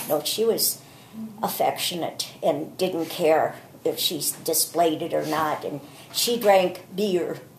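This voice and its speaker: With noticeable background noise behind her, a woman speaks very slowly in a fairly low voice with ordinary pitch variation. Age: 70s. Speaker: grandmother sharing memories. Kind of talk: personal reminiscence. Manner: relaxed.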